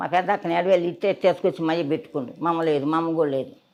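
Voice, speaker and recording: A woman with a very deep, low voice speaks on a very clean recording with a silent background. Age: 80s+. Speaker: former teacher. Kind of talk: interview answer.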